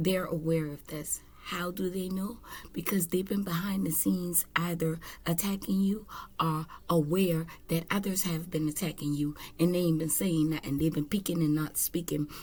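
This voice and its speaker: A woman speaks at a moderate pace, somewhat breathy, with fairly even intonation. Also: fairly low pitch for a woman. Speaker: tarot reader. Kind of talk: spiritual reading monologue. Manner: casual, conversational.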